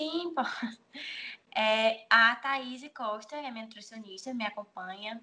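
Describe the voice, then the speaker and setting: Speaking fairly slowly, a woman has a fairly high pitch and a bright, sharp tone. Her loudness swings a lot. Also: ordinary pitch variation. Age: 20s. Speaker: bikini fitness athlete and nutrition student. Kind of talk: interview.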